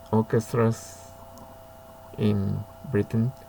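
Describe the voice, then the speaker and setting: This man speaks with a Japanese accent. His pace is very slow. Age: 70s. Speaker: violinist. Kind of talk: casual talk. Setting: home study. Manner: halting.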